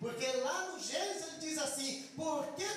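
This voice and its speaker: A man shouting, with audible room echo and noticeable background noise. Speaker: guest preacher. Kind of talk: sermon. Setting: church service. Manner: builds up to shouting while preaching; soft-spoken when talking, shouting when preaching.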